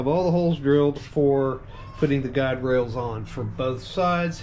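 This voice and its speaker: Noticeable background noise sits behind the voice. The pace is moderate. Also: man. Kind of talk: casual tutorial walkthrough. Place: garage. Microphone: phone near.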